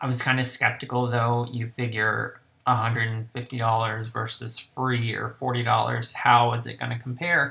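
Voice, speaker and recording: A man speaks at a moderate pace in a medium pitch, his tone bright and sharp. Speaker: photography youtuber. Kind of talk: product review. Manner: casual, hesitant with fillers.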